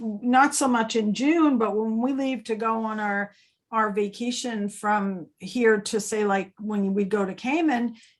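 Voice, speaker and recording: An unremarkable speaking voice moves with ordinary pitch variation. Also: woman. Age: 60s. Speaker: travel agency owner. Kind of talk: casual interview chat. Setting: video call.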